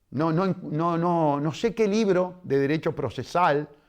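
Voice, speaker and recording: The speaker uses lively intonation while moving at a very slow pace. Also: man. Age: 60s. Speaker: lawyer and politician. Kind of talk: interview. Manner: animated.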